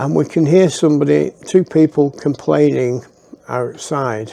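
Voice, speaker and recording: A man with a Lancashire accent, a fairly high pitch and a dark, mellow tone, at a fairly slow pace. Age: 60s. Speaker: storyteller. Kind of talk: personal storytelling. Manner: casual, halting with fillers.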